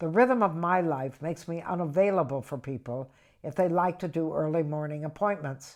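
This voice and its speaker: Over a quiet background, a woman with a very deep, low pitch speaks at a moderate pace with lively intonation. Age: 80s+. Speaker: stand-up comedian. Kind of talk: reading from own book.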